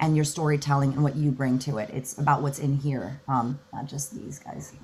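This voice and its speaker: This woman sounds animated. Her voice is somewhat breathy. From Cuban-American, Miami. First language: Spanish. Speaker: voice actress. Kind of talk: convention panel Q&A.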